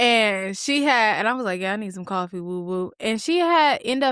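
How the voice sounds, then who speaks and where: A woman speaks at a moderate pace with a medium-pitched voice. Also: very clean recording, silent background. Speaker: science teacher and podcast co-host. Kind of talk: casual chat.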